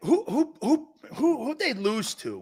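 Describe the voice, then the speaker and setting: In a put-on character voice, the speaker goes at a fairly slow pace with a high pitch that swings very widely. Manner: hooting repetition.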